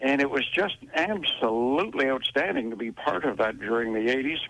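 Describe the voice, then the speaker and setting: A man speaks in a normal speaking voice, keeping a moderate pace. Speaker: arena PA announcer for a professional hockey team. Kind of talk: radio interview answer.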